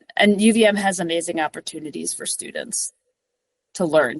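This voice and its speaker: A woman talks at a moderate pace with ordinary pitch variation and an American accent. The sound is dry and close, with no echo. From US, New York City. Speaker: climbing and mountain guide. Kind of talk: interview conversation. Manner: animated.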